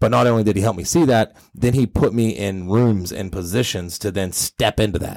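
An ordinary speaking voice at a moderate pace, with ordinary pitch variation, comes across in a dry, close sound with no echo. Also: man, fairly low pitch for a man. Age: 30s. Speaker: podcast host and business owner. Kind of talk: casual interview chat.

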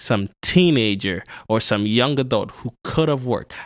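Recorded very cleanly against a silent background, a man with a New York accent talks at a medium pitch with ordinary pitch variation. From Ghana, came of age in South Bronx, New York. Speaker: podcast guest, producer. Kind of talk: casual political talk.

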